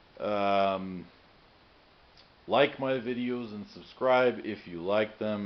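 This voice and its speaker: Fairly low in pitch, a man's voice shows ordinary pitch variation: a plain, everyday voice. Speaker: car hobbyist video maker. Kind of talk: tutorial. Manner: casual, filler-heavy.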